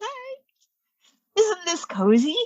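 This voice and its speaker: Putting on a character voice, a woman squeaks at an extremely high pitch with very wide pitch swings. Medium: stage play. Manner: warm, gushing.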